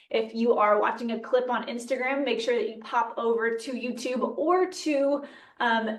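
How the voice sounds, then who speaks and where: Audible room echo surrounds a woman's bright, sharp, fairly high-pitched voice at a moderate pace. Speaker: nutrition podcast host. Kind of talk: casual educational podcast talk.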